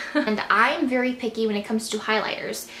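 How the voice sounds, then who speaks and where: There is audible room echo and light background noise around a woman speaking at a fairly high pitch. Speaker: beauty vlogger. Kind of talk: product review monologue. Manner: fast. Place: home room.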